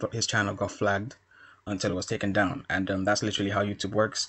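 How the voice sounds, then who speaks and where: The speaker is a man with a fairly low pitch. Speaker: YouTube commentator. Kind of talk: commentary monologue. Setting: quiet environment, speaking softly. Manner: subdued, not raising voice; hesitant with many fillers.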